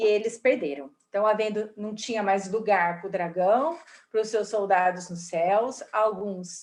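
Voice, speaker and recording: A woman with a normal speaking voice, medium pitch, ordinary pitch variation, and a fairly slow pace. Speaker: spiritist study class teacher. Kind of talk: lecture.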